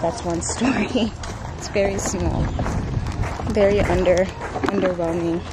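A woman speaks at a moderate pace, her voice dry with no echo. Loud background noise fills the recording. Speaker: vlogger. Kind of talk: casual vlog chat. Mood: relaxed, lightly amused. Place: beach. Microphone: phone near.

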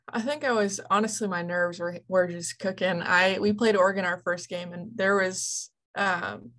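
A woman with an ordinary speaking voice talks at a medium pitch with fairly even intonation in a very clean recording with a silent background. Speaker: softball player and coach. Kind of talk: interview.

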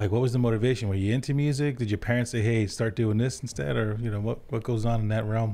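A man's dark, mellow voice, very fast with hardly any pauses, very even loudness and ordinary pitch variation. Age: 40s. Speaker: podcast host. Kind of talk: casual interview. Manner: casual, laid-back. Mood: warm, relaxed. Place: studio. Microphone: studio mic.

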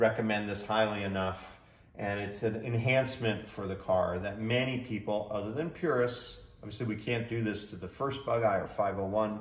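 Audible room echo surrounds a man who talks at a moderate pace, his fairly low voice keeping a fairly even intonation. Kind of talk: product demonstration. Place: garage. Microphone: camera far.

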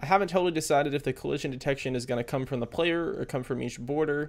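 A man speaks very fast, and his pitch varies in an ordinary way. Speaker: coding tutorial host. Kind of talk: tutorial. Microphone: headset.

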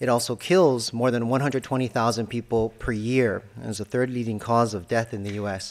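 The speech moves at a moderate pace with fairly even intonation and hardly any pauses. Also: man. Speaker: pulmonologist. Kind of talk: lecture. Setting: stage with audience. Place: hall. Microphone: podium.

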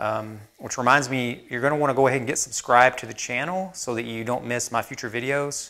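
In a bright, sharp tone, a man speaks at a moderate pace with fairly even intonation. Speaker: woodworking channel host. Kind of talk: casual vlog chat. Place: workshop. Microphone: lapel.

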